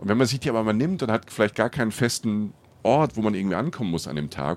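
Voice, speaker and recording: At a fairly quick pace, a man with a normal speaking voice talks at a fairly low pitch with ordinary pitch variation. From southern Palatinate, Germany. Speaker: travel podcaster, journalist. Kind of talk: casual interview. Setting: on a train.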